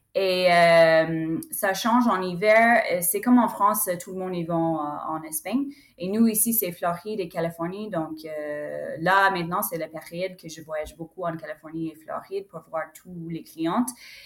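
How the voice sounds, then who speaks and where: A woman with an English accent speaks at a fairly low pitch and a fairly slow pace, with hardly any pauses. Her pitch varies in an ordinary way, her loudness swings widely, and there is noticeable background noise. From United States. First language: English (speaking French). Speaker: horse broker. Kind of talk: interview. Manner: halting.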